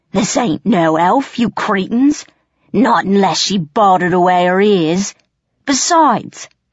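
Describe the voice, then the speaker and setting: A put-on character voice, female-sounding, middle-pitched, growling and bellowing at a fairly slow pace. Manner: menacing, blustering, coarse.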